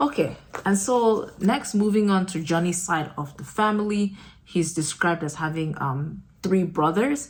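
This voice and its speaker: Somewhat breathy, the speaker moves at a moderate pace with lively intonation. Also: woman, medium pitch for a woman. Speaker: book discussion host. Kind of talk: casual talk to camera. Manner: hesitant, many filler words.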